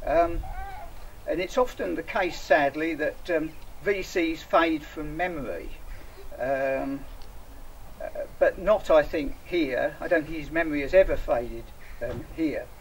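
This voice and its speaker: Delivery comes with an English accent at a fairly slow pace. Pauses are long and frequent. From England. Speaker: association representative. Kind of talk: public speech. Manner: halting, many fillers.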